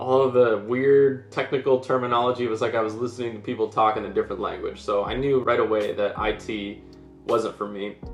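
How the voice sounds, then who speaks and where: A man at medium pitch talks at a fairly quick pace with fairly even intonation, music playing in the background. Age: 20s. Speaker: online course reviewer. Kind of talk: product review vlog. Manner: casual, with fillers.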